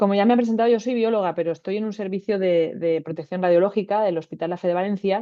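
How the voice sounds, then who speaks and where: Talking at a very fast pace, a woman keeps a medium pitch and fairly even intonation. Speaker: radiobiologist. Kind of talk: webinar lecture. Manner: hesitant fillers.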